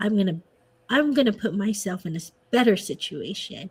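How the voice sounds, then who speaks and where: This woman's voice is somewhat breathy at a medium pitch. She keeps a moderate pace. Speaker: podcast guest. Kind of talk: casual chat. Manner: soft-spoken; animated.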